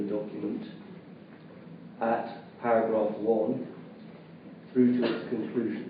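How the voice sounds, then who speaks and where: In a room with audible echo, a man speaks at a fairly slow pace with a monotone, flat intonation. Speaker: barrister at a public inquiry. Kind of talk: formal questioning. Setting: public inquiry hall. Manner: formal.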